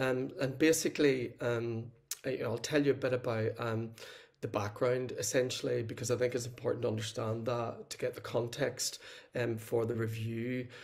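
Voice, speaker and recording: A man with a Northern Irish accent speaks at medium pitch, somewhat breathy. His intonation is flat and monotone, with audible room echo. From Northern Ireland. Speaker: social work lecturer. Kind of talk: conference presentation.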